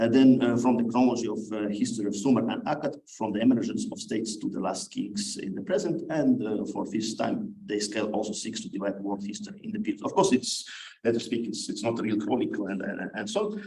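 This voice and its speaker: A man with a non-native accent at a fairly quick pace, audible room echo around him. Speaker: conference speaker, scholar of ancient history. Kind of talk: conference paper presentation. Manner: halting, many fillers.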